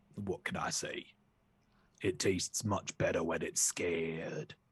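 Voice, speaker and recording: Using a put-on character voice, a man speaks raspy, very deep and low, at a fairly slow pace. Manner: playful, sly, unsettling.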